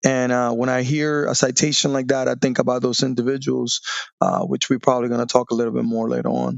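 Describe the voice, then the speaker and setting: With a Dominican accent, a man speaks at a very fast pace in a medium pitch, his intonation monotone and flat. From Dominican Republic. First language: Spanish. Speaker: navy veteran. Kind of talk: interview testimony. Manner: halting with many fillers.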